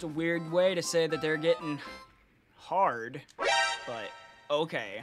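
Music plays in the background as a man with a fairly high pitch and ordinary pitch variation speaks at a very slow pace, with long, frequent pauses. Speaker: gaming streamer. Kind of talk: casual gaming chat with quiz-show hosting.

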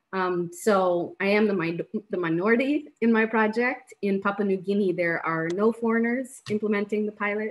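In an American accent, a woman talks at a moderate pace with hardly any pauses and ordinary pitch variation. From Rwanda and USA. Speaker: humanitarian aid worker; webinar panelist. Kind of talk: panel presentation. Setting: video call. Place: home room. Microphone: video call.

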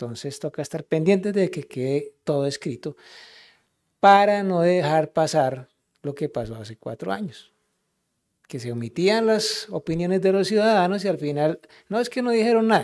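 A man with a high pitch and very wide pitch swings at a moderate pace, in a very clean recording with a silent background. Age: 60s. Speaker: local councillor. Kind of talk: council meeting speech.

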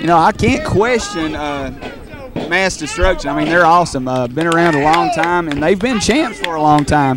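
Over music in the background, a man speaks in a high pitch with an animated tone and ordinary pitch variation. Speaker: wrestling commentator and ring announcer. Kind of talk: live wrestling commentary. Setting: wrestling arena, live event. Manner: animated, fast play-by-play calling of moves; good-natured banter with a heel co-commentator.

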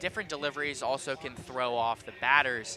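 With music in the background, a man of medium pitch talks at a moderate pace with ordinary pitch variation. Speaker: color commentator, former player. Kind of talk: live sports commentary. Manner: casual, conversational, hesitant with filler ums.

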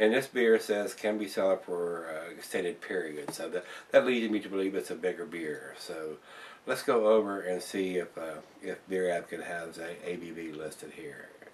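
A man's very deep, low-pitched voice over light background noise. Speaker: beer reviewer. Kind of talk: casual review commentary. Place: home room. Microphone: camera far.

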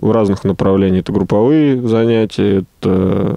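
Against a quiet background, a man with a dark, mellow tone speaks at a moderate pace with ordinary pitch variation in a dry sound with no echo. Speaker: gym instructor and rehabilitation specialist. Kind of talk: radio interview. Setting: studio. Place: studio. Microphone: headset.

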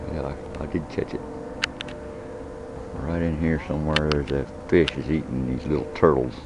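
A man's very deep, low voice with fairly even intonation, dry and echo-free, with music in the background. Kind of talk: casual vlog chat. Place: waterside. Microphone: phone near.

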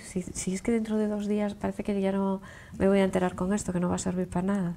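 A dark, mellow tone moves at a very fast pace with fairly even intonation. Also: woman. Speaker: TV talk show host. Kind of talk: casual chat. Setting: studio. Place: studio.

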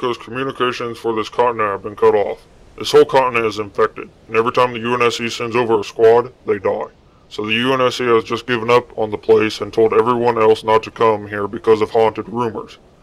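Putting on a character voice, a man talks at a fairly quick pace and medium pitch. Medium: machinima. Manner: calm, explanatory.

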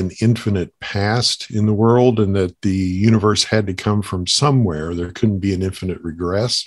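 A man's plain, everyday voice, fairly low in pitch, with fairly even intonation against a quiet background. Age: 50s. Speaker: Bible college teacher and apologist. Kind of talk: casual conversation.

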